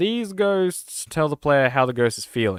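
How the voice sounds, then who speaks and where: Speaking at a fairly slow pace, a man with an Australian accent uses lively intonation, recorded with a dry, close sound and no echo. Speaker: gaming streamer. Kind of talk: casual live-stream commentary. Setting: live stream.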